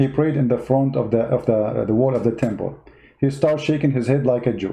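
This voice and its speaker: Somewhat breathy speech from a man with an Arabic accent at a fairly quick pace. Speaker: political commentator. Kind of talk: livestream monologue. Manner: animated.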